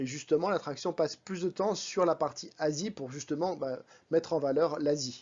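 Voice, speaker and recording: A man with a fairly high pitch talks at a moderate pace with ordinary pitch variation, leaving long, frequent pauses. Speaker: vlogger. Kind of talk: vlog voice-over. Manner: casual, conversational.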